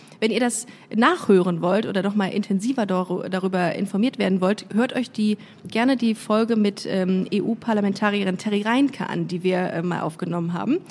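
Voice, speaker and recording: Medium pitch from a woman at a moderate pace, her pitch varying in an ordinary way, over noticeable background noise. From Germany, Düsseldorf. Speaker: podcast host, comedian. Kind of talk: casual interview. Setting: studio. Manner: animated.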